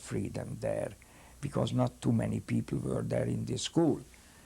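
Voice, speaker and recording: Someone with a Hungarian accent speaks at a fairly slow pace. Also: man. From Hungary. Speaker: rabbi, Holocaust survivor. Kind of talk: interview answer.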